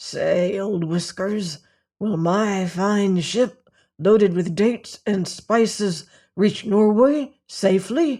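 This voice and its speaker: A put-on character voice, hoarse and fairly high, drags along at a very slow pace. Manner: low, secretive.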